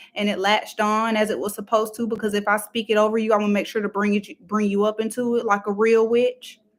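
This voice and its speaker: A woman's very fast, fairly high, monotone delivery with hardly any pauses. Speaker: tarot reader. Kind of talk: tarot reading.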